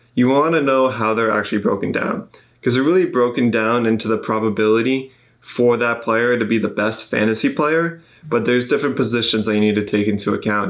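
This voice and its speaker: This man's voice is medium in pitch. He moves along at a fairly quick pace. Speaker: podcast host. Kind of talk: podcast talk. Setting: studio. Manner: monotone.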